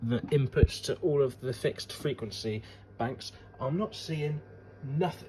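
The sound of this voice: A man speaks at a fairly slow pace. His tone is dark and mellow. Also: medium pitch for a man, ordinary pitch variation.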